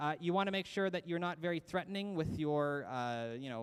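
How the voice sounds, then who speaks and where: With a Canadian accent, a man talks at a fairly quick pace with lively intonation. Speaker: college staff presenter. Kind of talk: orientation presentation. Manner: fast.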